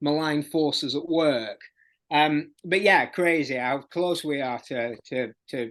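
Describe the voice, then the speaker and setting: The intonation stays fairly even, with a Yorkshire accent. The background is quiet. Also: man. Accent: Barnsley accent, moderate. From South Yorkshire (Barnsley). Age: 50s. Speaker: music journalist and author. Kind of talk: podcast interview. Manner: halting, many repetitions.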